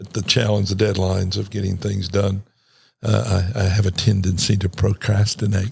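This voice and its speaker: A somewhat breathy, monotone voice with flat intonation at a moderate pace. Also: man, fairly low pitch for a man. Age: 60s. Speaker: pastor. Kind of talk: casual chat. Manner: halting, many repeated words.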